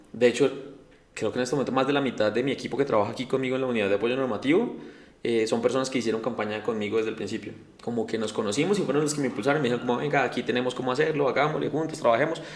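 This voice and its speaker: Very fast male speech at medium pitch, ordinary pitch variation, noticeable background noise. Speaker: city councillor, politician. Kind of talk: interview. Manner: casual, hesitant fillers.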